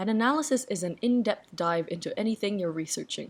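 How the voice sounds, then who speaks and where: With an ordinary speaking voice, a woman talks at a fairly quick pace with ordinary pitch variation on a very clean recording with a silent background. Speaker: artist and video essayist. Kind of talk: parody video essay.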